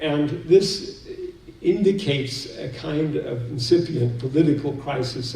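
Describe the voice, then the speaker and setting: Audible room echo surrounds the voice. It is a man talking with an American accent. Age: 60s. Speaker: seminar speaker. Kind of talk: lecture.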